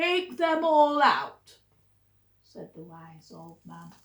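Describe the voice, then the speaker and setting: A woman speaks in a put-on character voice. Her pace is very slow. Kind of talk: bedtime story. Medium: read story.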